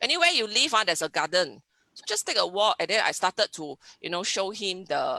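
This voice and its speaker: Dry and close with no echo, a woman with a Singaporean accent speaks at a fairly quick pace in a bright, sharp tone at medium pitch with ordinary pitch variation. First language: Hokkien. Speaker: science teacher. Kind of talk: webinar interview. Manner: halting.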